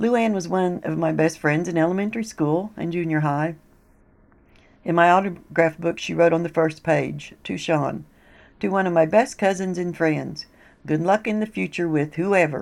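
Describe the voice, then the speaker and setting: A woman with an American accent speaks at a moderate pace in a fairly low pitch with ordinary pitch variation. It is an ordinary speaking voice on a very clean recording with a silent background. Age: 50s. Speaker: podcast host, poetry museum founder. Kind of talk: scripted narration.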